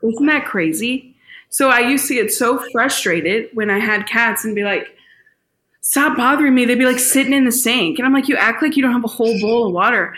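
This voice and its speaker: A woman's high, bright, sharp voice with an American accent, very even loudness and audible room echo. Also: ordinary pitch variation, fairly quick pace. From US Midwest, St. Louis. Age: 20s. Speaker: singer-songwriter and worship leader. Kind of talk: casual interview chat. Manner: animated.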